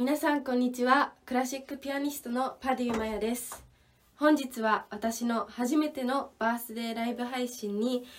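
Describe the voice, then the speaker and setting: Monotone, flat delivery at a moderate pace. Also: woman, high pitch for a woman. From Japan, Ibaraki (Tsukuba). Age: 20s. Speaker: classical pianist and radio host. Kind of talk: live stream talk; radio show monologue.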